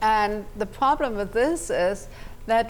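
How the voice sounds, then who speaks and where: A woman with a German accent speaks at a fairly high pitch. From Germany, Munich. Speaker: immigration attorney. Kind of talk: TV interview.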